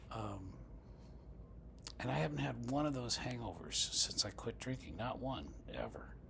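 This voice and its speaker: A man with very deep, low pitch and very wide pitch swings speaks at a moderate pace with long, frequent pauses. Audible room echo and noticeable background noise fill the recording. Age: 60s. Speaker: recovering alcoholic sharing his story. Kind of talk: reading aloud; testimony. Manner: informal, with fillers.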